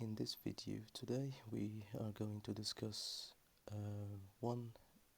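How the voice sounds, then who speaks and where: In a calm, relaxed tone, a man with a fairly low, somewhat breathy voice speaks in a flat monotone. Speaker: chess player. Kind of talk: ASMR chess lesson.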